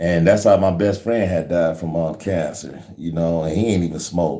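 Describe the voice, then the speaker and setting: A man's very deep, low voice with a dark, mellow tone, in an American accent, at a moderate pace with fairly even intonation and audible room echo. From Ohio, US. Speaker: online faith livestreamer. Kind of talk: casual livestream chat with prayer. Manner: halting, many fillers.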